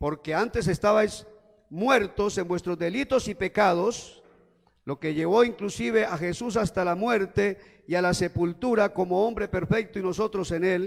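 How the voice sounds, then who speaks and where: A man talks fairly slowly in a high pitch. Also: ordinary pitch variation. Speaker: preacher. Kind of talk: sermon.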